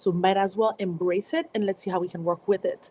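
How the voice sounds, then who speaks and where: A woman with a French accent. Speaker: motivational speaker. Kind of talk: live stream talk. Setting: live stream.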